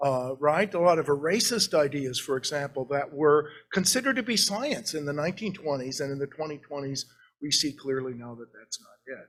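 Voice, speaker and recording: A man talks at a fairly quick pace in a plain, everyday voice, fairly high in pitch. His pitch varies in an ordinary way, with big swings in loudness. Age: 60s. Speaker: art historian, professor. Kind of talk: lecture. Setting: library meeting room with audience and zoom.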